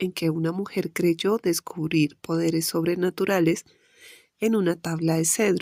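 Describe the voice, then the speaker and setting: A woman with an inland Colombian accent talks at a fairly slow pace in a fairly low, dark, mellow voice with fairly even intonation, the sound dry and close with no echo. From Colombia, interior. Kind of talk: audiobook reading of nonfiction chronicle.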